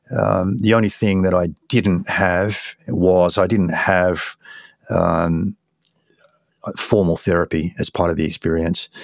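In an Australian accent, a man with a very deep, low pitch speaks at a very slow pace. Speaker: psychedelic research nonprofit director. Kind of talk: interview. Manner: halting.

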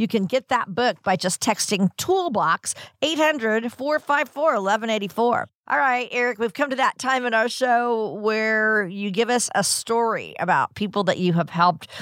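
A woman talks at a moderate pace with lively intonation, very even loudness, and hardly any pauses. The recording is very clean with a silent background and a dry, close sound with no echo. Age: 60s. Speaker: radio co-host. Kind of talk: radio show hosting.

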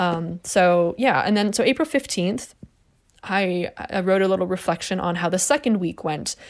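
Very clean recording with a silent background, a woman's normal speaking voice at medium pitch, with ordinary pitch variation and a moderate pace. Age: 30s. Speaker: solo podcast host. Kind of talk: casual monologue. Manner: casual, filler-heavy.

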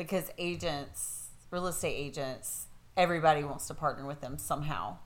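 This woman speaks at a moderate pace with a very deep, low pitch, ordinary pitch variation, and vocal fry. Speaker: real estate agent and podcast co-host.

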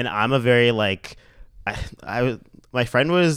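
In a very clean recording with a silent background, a man with an unremarkable speaking voice talks at a medium pitch with ordinary pitch variation. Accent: Canadian. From Mississauga, Ontario, Canada. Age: 30s. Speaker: fashion and lifestyle blogger. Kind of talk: casual interview chat.

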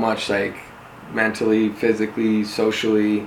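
Someone with an American accent speaks with audible room echo and noticeable background noise. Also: man. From Denver, Colorado. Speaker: reality TV contestant turned home builder. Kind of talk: interview.

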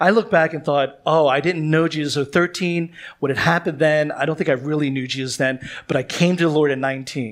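The man's pitch is fairly high, with ordinary variation. He talks at a moderate pace in a normal speaking voice. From Philadelphia, US. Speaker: pastor. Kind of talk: sermon. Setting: church.

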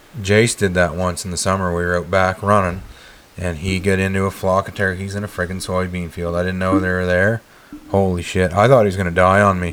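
A man speaks at a very deep, low pitch in a monotone, flat intonation. He moves at a fairly quick pace over noticeable background noise. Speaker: podcast host. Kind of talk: casual chat. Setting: recording hunting podcast with friends. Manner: joking, banter.

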